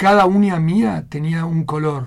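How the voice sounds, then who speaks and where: A somewhat breathy male voice on a very clean recording with a silent background. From Argentina. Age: 60s. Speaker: emigrant restaurant waiter. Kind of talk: radio interview.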